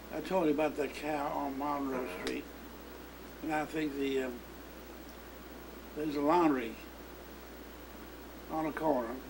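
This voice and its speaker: Amid noticeable background noise, a man with an American accent speaks fairly slowly at a fairly high pitch, his intonation fairly even and his pauses long and frequent. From St. Louis, Missouri. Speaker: hardware store proprietor. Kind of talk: interview answer.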